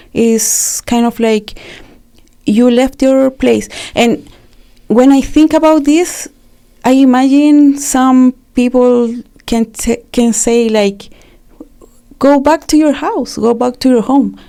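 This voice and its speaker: Speaking in a Spanish accent, a woman uses a high pitch with ordinary pitch variation. Her pace is very slow, with long, frequent pauses. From Chile. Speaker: refugee and community activist. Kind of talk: interview testimony. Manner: halting with fillers.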